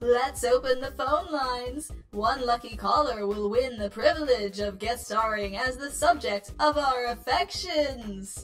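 Speaking in a put-on character voice with a smug, theatrical tone, this female-sounding voice sits high for a woman and moves at a fairly slow pace with hardly any pauses, while clear music plays in the background. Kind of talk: showbiz host theatrics. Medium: fan dub. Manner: flamboyant, flirtatious, smug, theatrical; vain, self-assured.

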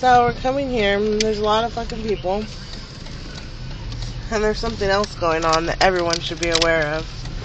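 Over noticeable background noise, the speech moves at a fairly quick pace with a dry sound and no echo. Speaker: vlogger filming from the car. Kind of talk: casual vlog chat. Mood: excited, amused. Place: car. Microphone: phone near.

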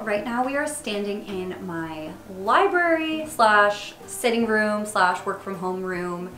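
In a room with audible echo and light background noise, a woman speaks very slowly. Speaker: teacher, design blogger. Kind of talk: house tour narration. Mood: upbeat, enthusiastic. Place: home room.

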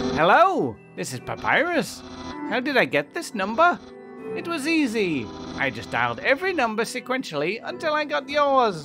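Clear music plays in the background as a put-on character voice with fairly high pitch speaks at a moderate pace. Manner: theatrical, eager.

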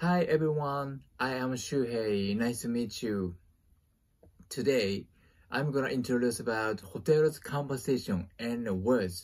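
Against a quiet background, a man speaks at a very slow pace. His pitch variation is ordinary. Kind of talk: friendly self-introduction and language lesson. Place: home room. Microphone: phone near.

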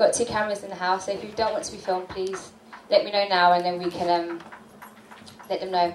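A woman talks very fast with fairly even intonation, with audible room echo and light background noise. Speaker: event host. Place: hall.

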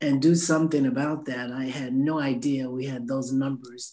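A woman speaks with a very deep, low pitch and a dark, mellow tone. Her intonation stays fairly even against a quiet background. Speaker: city councilwoman. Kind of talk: council meeting remarks. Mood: concerned, troubled. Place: home room. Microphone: video call.

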